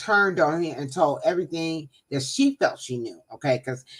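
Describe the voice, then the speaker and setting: A woman's normal speaking voice, fairly low in pitch, at a moderate pace, on a very clean recording with a silent background. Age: 60s. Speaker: talk show guest. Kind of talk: casual chat.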